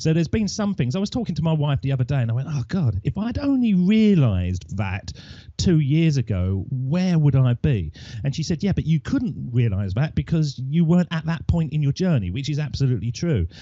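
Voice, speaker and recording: Pitched fairly high, a man's voice sounds somewhat breathy. It moves in very wide pitch swings. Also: fairly quick pace. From Essex, England. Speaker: podcaster. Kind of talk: interview.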